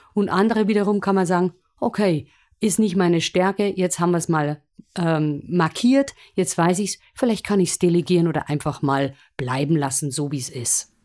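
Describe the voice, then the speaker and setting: A woman speaks at a moderate pace with a fairly low pitch and lively intonation. Her tone is animated, on a very clean recording with a silent background. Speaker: musical performer and presentation coach. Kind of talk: interview.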